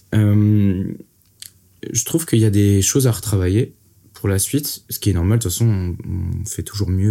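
A man talks at a moderate pace with a fairly low pitch, a dark, mellow tone and ordinary pitch variation. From Brittany, France. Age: 20s. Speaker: rapper. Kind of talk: casual interview. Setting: in-person studio recording.

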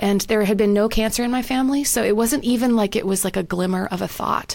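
A woman with an ordinary speaking voice speaks at a fairly high pitch with a Canadian accent. Her pace is moderate and her pitch variation ordinary. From Canada. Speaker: professor and author. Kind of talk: interview conversation. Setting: video call.

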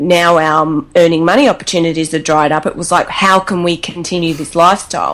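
Fairly low female voice in an Australian accent, fairly quick, with ordinary pitch variation. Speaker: travel blogger. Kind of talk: casual interview chat.

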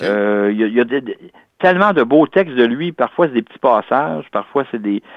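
Speaking at a medium pitch, a man uses lively intonation. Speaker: independent literary researcher. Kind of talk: interview. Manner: halting, many repetitions.

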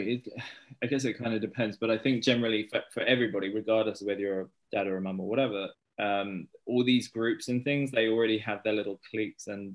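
Fairly quick speech comes from a man with a fairly low voice. His intonation stays fairly even. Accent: British. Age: 30s. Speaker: stay-at-home dad and children's author. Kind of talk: casual interview.

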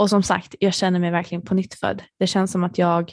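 A woman talks at a medium pitch, and the background is quiet. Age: 30s. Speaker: podcast host. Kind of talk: casual monologue.

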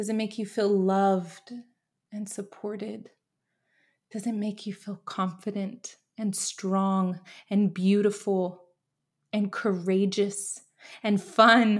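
A woman's warm, somewhat breathy voice at medium pitch, monotone and flat, very slow with long, frequent pauses, on a very clean recording with a silent background. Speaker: podcast host. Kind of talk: pep talk; guided visualization. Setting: home office. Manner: warm, encouraging, earnest.

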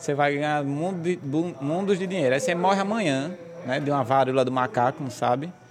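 This man talks fairly quickly while noticeable background noise carries on behind him. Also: fairly high pitch for a man, ordinary pitch variation. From Brazil, Goianinha, Rio Grande do Norte. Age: 20s. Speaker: banker and real estate broker. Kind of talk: casual interview. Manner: laughing a lot.

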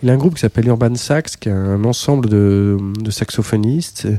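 This man talks at a fairly slow pace and fairly low pitch. His tone is dark and mellow, with ordinary pitch variation. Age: 50s. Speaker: saxophonist and electronic music producer. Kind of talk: casual interview. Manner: hesitant, many fillers.

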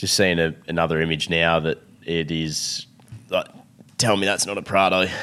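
A man with an Australian accent talks at a moderate pace in a very deep, low pitch and a bright, sharp tone, his intonation monotone and flat, with long, frequent pauses. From Victoria, Australia. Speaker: podcast host. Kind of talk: casual chat.

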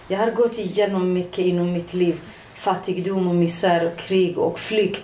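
Over noticeable background noise and audible room echo, a woman talks at a moderate pace and medium pitch with monotone, flat intonation. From Iranian Kurdistan. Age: 40s. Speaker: politician. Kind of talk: casual chat. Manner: halting.

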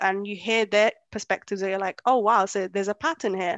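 Recorded dry and close with no echo, a woman with a London accent speaks at a fairly high pitch. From born in Kenya, raised in London. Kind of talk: casual interview chat.

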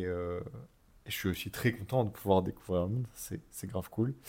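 Very clean recording, silent background, and a man with a plain, everyday voice. His fairly low pitch shows ordinary pitch variation at a moderate pace. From Paris, France. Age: 20s. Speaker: travel podcast co-host. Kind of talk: casual chat.

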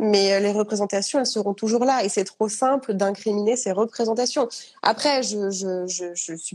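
A woman speaks at a moderate pace in a fairly high voice. Her tone is dark and mellow, and her intonation is fairly even. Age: 30s. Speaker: author sharing eating disorder experience. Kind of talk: testimony in live interview. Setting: Instagram live.

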